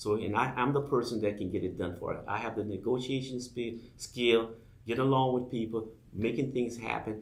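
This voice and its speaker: In a room with audible echo, a somewhat breathy man with an American accent talks with fairly even intonation. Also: medium pitch for a man, moderate pace. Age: 60s. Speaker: political candidate. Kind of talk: campaign appeal on radio show.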